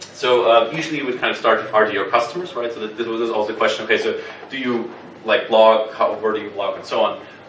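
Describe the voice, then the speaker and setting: A man rattles along at a very fast pace, with audible room echo and noticeable background noise around him. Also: big swings in loudness. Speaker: workshop instructor. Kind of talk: workshop lecture. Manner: halting, many fillers and repetitions.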